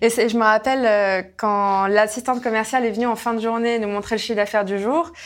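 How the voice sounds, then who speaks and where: In an ordinary speaking voice, a woman talks fairly quickly at a fairly high pitch with hardly any pauses. Her intonation is fairly even, and the recording is very clean with a silent background. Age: 20s. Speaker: entrepreneur, company president. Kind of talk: interview.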